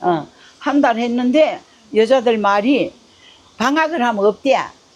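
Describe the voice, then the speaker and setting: At a very slow pace, a woman talks in a high pitch. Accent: Gyeongsang. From North Gyeongsang, South Korea. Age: 80s+. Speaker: ramen shop owner. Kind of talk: interview answer. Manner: casual, plain-spoken.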